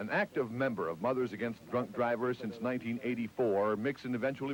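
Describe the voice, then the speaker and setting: This is an ordinary speaking voice. It moves at a fairly quick pace with ordinary pitch variation. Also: man. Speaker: TV news reporter. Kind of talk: TV news report voiceover.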